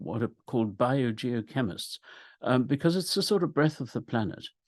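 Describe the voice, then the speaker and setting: A man talks with lively intonation against a quiet background. The sound is dry and close, with no echo. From Africa. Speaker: climate scientist. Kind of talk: webinar lecture. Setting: video call. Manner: halting.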